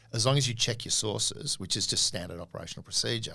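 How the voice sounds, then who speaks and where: With an Australian accent, a man talks at a very fast pace and a medium pitch, his bright, sharp tone showing ordinary pitch variation. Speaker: podcast co-host, comedian and former intelligence officer. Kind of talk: interview. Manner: animated.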